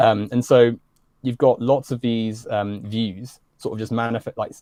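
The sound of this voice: A man speaks at a fairly slow pace with a dark, mellow tone, medium pitch and fairly even intonation.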